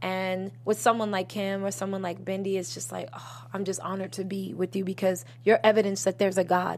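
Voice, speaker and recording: A woman's medium-pitched voice in an American accent, with vocal fry, lively intonation, a fairly quick pace, hardly any pauses and a very clean, silent background. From Boston. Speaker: singer and songwriter. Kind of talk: casual interview chat.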